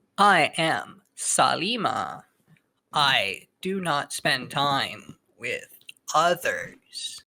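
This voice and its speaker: A put-on character voice at a middle pitch, delivered at a very slow pace. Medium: actual play. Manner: terse broken speech, no contractions.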